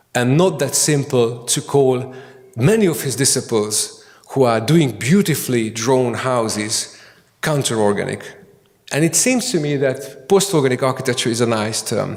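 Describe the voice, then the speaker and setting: A medium-pitched male voice with a Hungarian accent, moderate pace and audible room echo. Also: ordinary pitch variation. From Hungary. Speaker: architect and academic. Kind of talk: conference lecture. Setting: conference hall with audience. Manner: halting, many fillers and repetitions.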